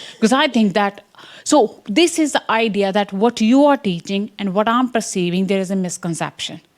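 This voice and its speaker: In an Indian accent, a woman talks at a moderate pace. Her pitch swings very widely. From English Midlands. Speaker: science education researcher. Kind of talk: conference talk.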